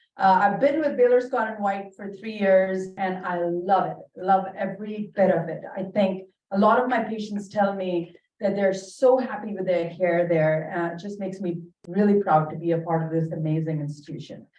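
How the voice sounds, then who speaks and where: Moderate pace in an Indian accent, with ordinary pitch variation and big swings in loudness. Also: woman, medium pitch for a woman. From Bahrain, Indian family. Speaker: dermatologist. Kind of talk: lecture.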